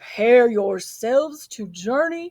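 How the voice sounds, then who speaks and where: A put-on character voice on a very clean recording with a silent background. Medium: read story.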